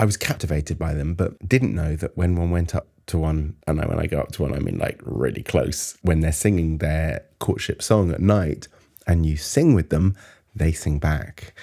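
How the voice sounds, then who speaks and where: On a very clean recording with a silent background, a man speaks at a moderate pace in a very deep, low pitch, with a dark, mellow tone and ordinary pitch variation. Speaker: folk singer. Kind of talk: interview answer.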